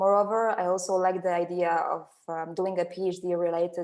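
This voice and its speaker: A woman with a Polish accent speaks in a fairly low pitch, her intonation monotone and flat. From Poland. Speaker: seismologist, postdoctoral researcher. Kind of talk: webinar panel talk.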